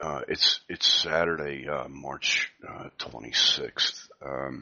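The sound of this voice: A man speaks quietly at an extremely low pitch, his tone bright and sharp. His pace is slow, with ordinary pitch variation.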